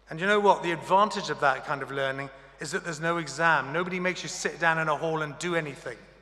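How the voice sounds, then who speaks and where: A man's high-pitched voice at a fairly quick pace, ordinary pitch variation, and noticeable background noise. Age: 60s. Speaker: honorary graduate speaker. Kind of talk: graduation address. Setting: ceremony hall with audience. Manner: formal.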